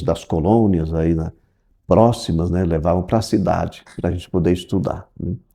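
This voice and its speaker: A man's dark, mellow tone at a fairly slow pace, with ordinary pitch variation, over a quiet background. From Brazil, interior of São Paulo state (Adamantina). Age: 60s. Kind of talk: interview, life story. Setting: office of the diocesan curia. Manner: halting, with repetitions.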